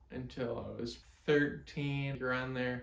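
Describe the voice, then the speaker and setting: A man speaks in a medium pitch with monotone, flat intonation, heard through audible room echo and noticeable background noise. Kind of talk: casual explainer monologue. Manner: slurred, ataxic speech; halting.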